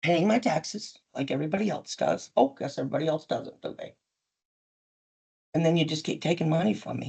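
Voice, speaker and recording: The voice is dark, mellow and somewhat breathy, with big swings in loudness. Long, frequent pauses break up the speech. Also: woman, very deep, low pitch for a woman, lively intonation. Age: 60s. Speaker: business owner at licensing hearing. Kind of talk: testimony. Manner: animated.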